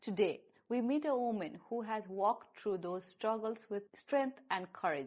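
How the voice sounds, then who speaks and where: In a plain, everyday voice, a woman speaks fairly slowly and with lively intonation. Her pitch is fairly high. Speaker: podcast host. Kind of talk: show introduction.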